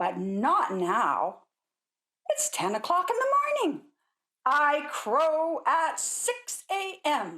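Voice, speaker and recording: The speaker uses a put-on character voice at a very slow pace. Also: woman, high pitch for a woman. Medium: read story. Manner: drowsy.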